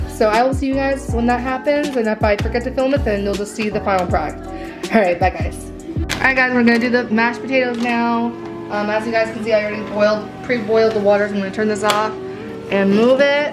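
Clear music plays in the background. The speech runs at a fairly quick pace with ordinary pitch variation. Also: woman. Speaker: home vlogger. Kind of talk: casual vlog chat. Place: kitchen. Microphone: phone near.

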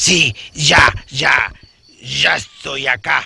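A man speaks in a cartoonish character voice, raspy and at a medium pitch. His delivery is very slow. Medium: puppet.

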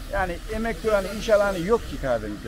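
The speech races by at a very fast pace amid noticeable background noise. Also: man. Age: 50s. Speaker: tea farmer. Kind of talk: interview. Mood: cheerful, opinionated. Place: street. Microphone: phone near.

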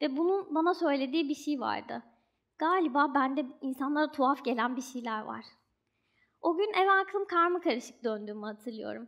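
A woman speaks at a moderate pace in a high voice with lively intonation. The background is quiet. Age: 20s. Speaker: doctoral student and writer; speaker. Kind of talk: stage talk. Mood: reflective, earnest. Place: stage. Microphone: headset.

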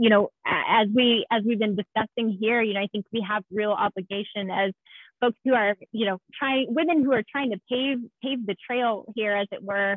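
With an American accent and ordinary pitch variation, the voice sounds dry with no echo over a quiet background. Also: woman. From Texas, San Antonio; Texas. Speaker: game industry technical art director; panelist. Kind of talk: panel discussion. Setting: video call. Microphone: video call.

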